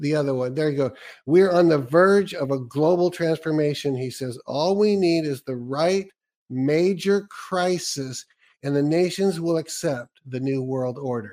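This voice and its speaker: This is an ordinary speaking voice with an American accent. It moves at a fairly slow pace with ordinary pitch variation. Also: man, fairly high pitch for a man. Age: 60s. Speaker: radio host interviewer. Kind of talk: interview.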